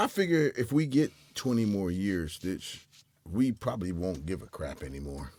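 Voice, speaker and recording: His pitch swings very widely as a man talks at a moderate pace. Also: fairly low pitch for a man. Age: 60s. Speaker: podcast co-host. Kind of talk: casual chat.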